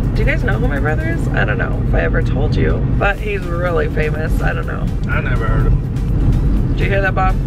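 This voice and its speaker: A woman at a fairly quick pace, dry sound with no echo, music in the background. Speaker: teacher vlogger. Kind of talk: casual vlog chat. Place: car. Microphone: phone near.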